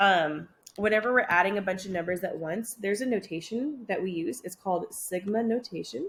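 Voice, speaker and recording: A woman's somewhat breathy voice. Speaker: math teacher. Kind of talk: lecture. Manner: fast; many filler ums.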